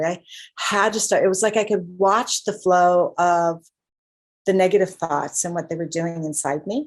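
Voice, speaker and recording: A woman speaks at a moderate pace in an unremarkable speaking voice. Her pitch sits fairly low, with ordinary variation. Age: 60s. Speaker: guest sharing healing story. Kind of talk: testimony.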